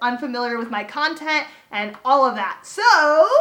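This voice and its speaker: A woman with an American accent uses a raised, projected voice. Her pitch is high, with ordinary pitch variation. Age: 20s. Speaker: YouTuber. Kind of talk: storytime vlog. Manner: animated.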